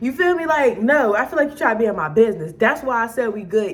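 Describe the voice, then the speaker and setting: With an American accent, a woman talks at a very fast pace and a fairly high pitch, with lively intonation, over noticeable background noise. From Maryland. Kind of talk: casual storytime to camera.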